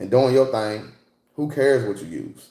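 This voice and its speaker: Delivered at a fairly quick pace, a man's voice has an animated tone. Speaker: livestreamer and fishing enthusiast, military veteran. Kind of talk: casual livestream chat reading comments.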